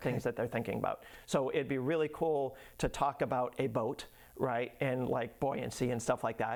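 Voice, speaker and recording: In a very clean recording with a silent background, a man with an American accent and an unremarkable speaking voice talks at medium pitch and a moderate pace, keeping very even loudness and fairly even intonation. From Massachusetts (Lynn, north of Boston). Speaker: educational business owner. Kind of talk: casual interview.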